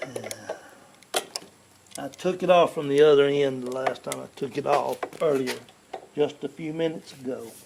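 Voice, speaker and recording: With long, frequent pauses and big swings in loudness, a man with a Southern US accent speaks at a fairly high pitch and with fairly even intonation over noticeable background noise. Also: moderate pace. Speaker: YouTuber doing home repairs. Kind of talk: tutorial with casual chat. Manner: halting, with restarts.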